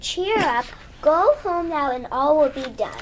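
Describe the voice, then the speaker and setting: The speaker uses a put-on character voice with a high pitch at a fairly slow pace. Clear background noise is present. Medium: stage play. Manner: calm, gentle.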